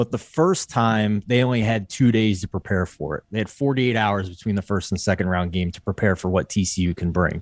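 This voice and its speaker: In a normal speaking voice with an American accent, a man talks at a fairly quick pace with hardly any pauses, a fairly low pitch and ordinary pitch variation, on a very clean recording with a silent background and a dry, close sound with no echo. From Philadelphia. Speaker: sports betting editor. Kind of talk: podcast sports betting discussion.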